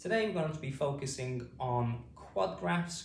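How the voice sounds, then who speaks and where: Very slow delivery in a British accent, with lively intonation. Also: man. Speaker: phonics teacher. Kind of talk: phonics lesson for adult learners. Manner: slow, clear.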